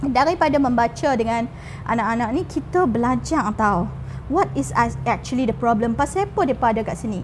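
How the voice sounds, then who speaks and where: A woman speaks at a moderate pace with lively intonation. Noticeable noise sits in the background. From Kedah, northern Malaysia. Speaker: teacher and founder of a community school. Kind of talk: podcast interview.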